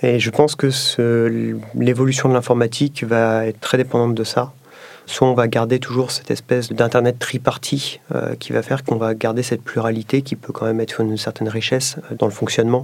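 A man's medium-pitched voice, monotone and flat, at a fairly quick pace. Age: 30s. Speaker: tech company executive. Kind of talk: interview testimony.

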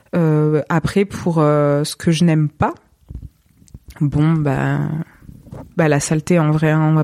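A woman speaks at a fairly slow pace, her sound dry and close with no echo. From southern France, Montpellier area. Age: 20s. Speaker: photographer. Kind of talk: interview.

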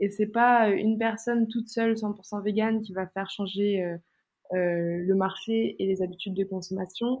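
A woman's normal speaking voice, medium in pitch, with fairly even intonation at a moderate pace. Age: 20s. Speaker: plant-based nutrition content creator. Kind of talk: casual interview chat.

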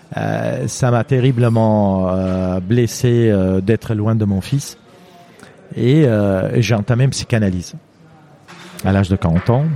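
Against noticeable background noise, a man speaks very slowly with long, frequent pauses, at a fairly low pitch with ordinary pitch variation. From Lebanon. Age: 50s. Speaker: mountaineer and endurance athlete. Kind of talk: interview storytelling. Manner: halting, many hesitations.

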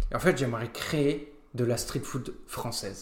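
Very slowly, a man gets his words out. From France, Nancy area (Lorraine). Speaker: restaurant co-owner. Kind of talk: casual interview chat.

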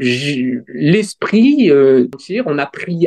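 A man is speaking here. His pitch makes very wide swings. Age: 30s. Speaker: church member sharing faith journey. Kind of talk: casual interview. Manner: halting.

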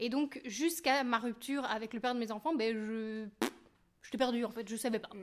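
Her voice is fairly high, and she is a woman talking at a moderate pace. The pitch varies in an ordinary way. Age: 30s. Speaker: YouTuber and makeup artist. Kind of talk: casual chat.

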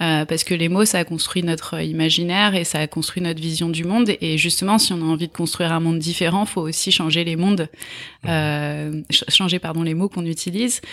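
A woman speaks at a fairly quick pace with fairly low pitch. Her intonation stays fairly even. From France, Essonne (Paris region). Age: 30s. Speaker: nonprofit executive and activist. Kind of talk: interview. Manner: hesitant with fillers.

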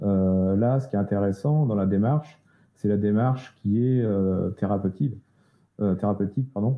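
At a fairly slow pace, a man talks with a fairly low pitch. His pitch variation is ordinary. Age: 40s. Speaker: web agency co-founder. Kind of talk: interview. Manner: halting, many repetitions.

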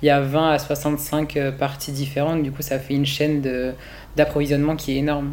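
The intonation stays monotone and flat. The pace is fairly quick. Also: man. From rural France. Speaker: fashion design student. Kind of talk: interview testimony. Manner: halting.

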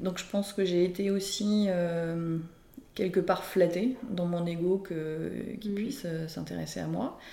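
A woman with a dark, mellow tone speaks at a very slow pace. Her intonation is fairly even, and audible room echo is present. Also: medium pitch for a woman. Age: 40s. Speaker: entrepreneur sharing her life story. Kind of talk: personal testimony interview. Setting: casual aperitif among friends. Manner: hesitant, with frequent fillers.

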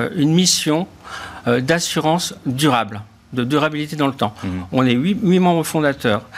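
This man's pitch is fairly high. It shows ordinary variation. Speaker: insurance executive. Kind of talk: interview answers. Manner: hesitant, filler words.

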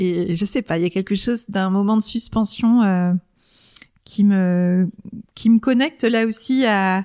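A woman speaks at a fairly slow pace and a medium pitch, with fairly even intonation, in a very clean recording with a silent background. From Brittany, France. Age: 40s. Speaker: coach. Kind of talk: casual chat. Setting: living room. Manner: hesitant.

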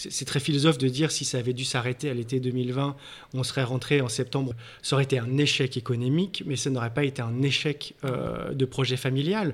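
A man speaks at a fairly quick pace, his medium-pitched voice keeping a fairly even intonation. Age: 40s. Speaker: entrepreneur. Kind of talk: interview. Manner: halting.

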